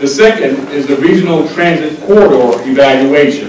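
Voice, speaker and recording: A man talks at a fairly slow pace with lively intonation, his voice carrying audible room echo over light background noise. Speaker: transportation engineer chairing a public hearing. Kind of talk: formal hearing proceedings. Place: meeting room.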